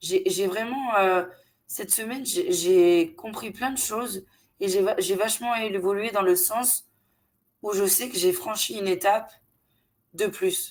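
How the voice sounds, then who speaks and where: A woman speaks at a very slow pace with ordinary pitch variation. The recording is very clean, the background silent. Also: medium pitch for a woman. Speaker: channel host sharing abduction experiences. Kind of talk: casual interview conversation, personal testimony. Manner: halting, many hesitations.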